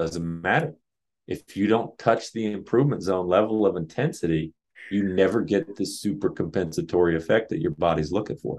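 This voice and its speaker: A man with a fairly low pitch talks at a fairly quick pace in an ordinary speaking voice, his intonation lively. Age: 30s. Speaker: jump training coach and author. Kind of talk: casual interview chat.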